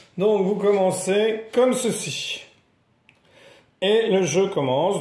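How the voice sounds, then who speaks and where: A man's voice has a dark, mellow tone. Audible room echo surrounds it. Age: 60s. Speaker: board game presenter. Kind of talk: tutorial. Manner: casual explanatory.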